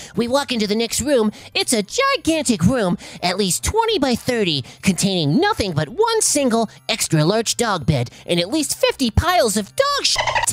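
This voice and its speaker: The voice is a put-on character, with a fairly high pitch. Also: moderate pace. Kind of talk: comic story reading. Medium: read story. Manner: forced stern tone, easily flustered.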